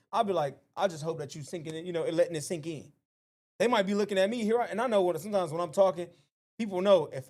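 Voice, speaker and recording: This man speaks in an animated tone at a high pitch, with ordinary pitch variation. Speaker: youth advocate and artist. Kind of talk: casual chat.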